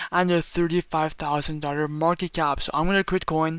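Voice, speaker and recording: Bright, sharp tone from a high-pitched man on a very clean recording with a silent background. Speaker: crypto YouTuber. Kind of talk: screen-recorded tutorial. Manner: fast; animated.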